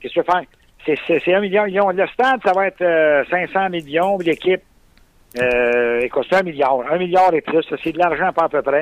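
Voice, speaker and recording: Speaking with a Quebec accent, a man has a high voice with ordinary pitch variation. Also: moderate pace. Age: 50s. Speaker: sports fan. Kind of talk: interview. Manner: halting.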